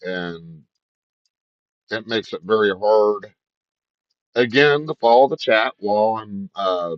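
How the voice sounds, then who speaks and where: Speaking at a very slow pace, a man uses a fairly low pitch with ordinary variation in it. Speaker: streamer. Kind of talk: casual gaming livestream chat. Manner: stutters and trips over words on stream.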